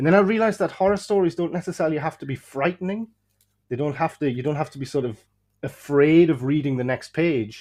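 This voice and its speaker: Over a quiet background, a man with an English accent speaks at a very fast pace in a fairly high pitch with lively intonation. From England, German-speaking early childhood. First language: German. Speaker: horror fiction author. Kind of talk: casual interview chat. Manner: halting, many fillers.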